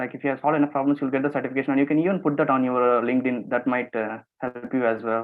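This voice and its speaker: A man at a medium pitch, very fast pace and fairly even intonation, with hardly any pauses. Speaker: webinar presenter on competitive programming. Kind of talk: online webinar tutorial. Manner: halting, many repetitions and fillers.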